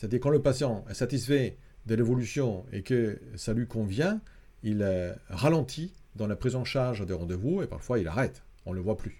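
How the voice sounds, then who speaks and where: The speaker is a man with a dark, mellow tone. He sounds somewhat breathy. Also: medium pitch for a man, lively intonation, moderate pace. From Italy. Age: 50s. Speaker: psychology professor and clinical psychologist. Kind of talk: interview. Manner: halting, many fillers.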